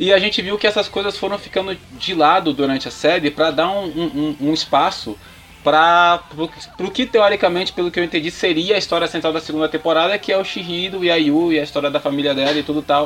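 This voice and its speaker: There is noticeable background noise behind a man speaking at a high pitch. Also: ordinary pitch variation, fairly quick pace. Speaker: podcast guest. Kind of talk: casual chat.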